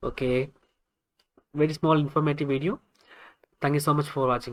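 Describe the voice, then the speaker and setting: The speaker has a Keralan accent and a fairly quick pace broken by long, frequent pauses. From India, Kerala. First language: Malayalam. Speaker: web developer, tech YouTuber. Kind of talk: tutorial. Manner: halting, many fillers.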